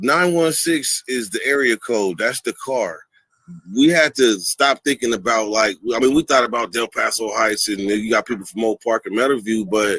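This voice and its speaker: A man with an American accent talks at a moderate pace in a medium pitch, with ordinary pitch variation. It is a plain, everyday voice, with a dry, close sound with no echo. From Sacramento, California. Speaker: YouTuber, former prisoner. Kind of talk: interview on live stream.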